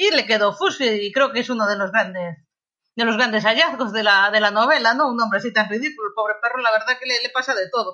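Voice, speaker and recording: An ordinary speaking voice with ordinary pitch variation, at a fairly quick pace. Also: woman. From Galicia, Spain (Lugo). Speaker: novelist. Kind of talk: interview.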